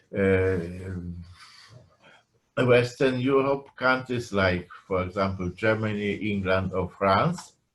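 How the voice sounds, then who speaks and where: With a Polish accent, a man speaks very slowly in a fairly low voice with ordinary pitch variation and long, frequent pauses. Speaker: professor. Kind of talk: lecture. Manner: halting.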